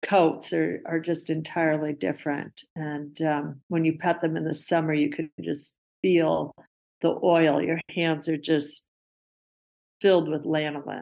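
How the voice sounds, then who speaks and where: Very deep and low for a woman, her voice shows vocal fry. She speaks in a flat monotone at a fairly slow pace. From Alaska, Anchorage. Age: 60s. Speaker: reindeer ranch owner. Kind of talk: casual interview.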